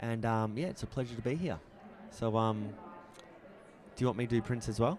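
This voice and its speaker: With an Australian accent, a man talks at a moderate pace and a medium pitch. His intonation is lively. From Australia, Brisbane. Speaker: photography competition judge. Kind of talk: live critique. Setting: trade show booth with audience, livestream. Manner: casual.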